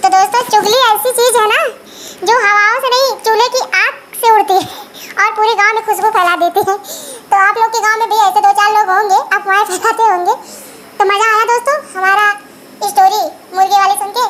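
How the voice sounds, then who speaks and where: A woman's extremely high voice at a fairly quick pace, fairly even in intonation, with long, frequent pauses and clear background noise. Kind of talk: folksy comic storytelling. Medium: solo performance. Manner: chatty, warm.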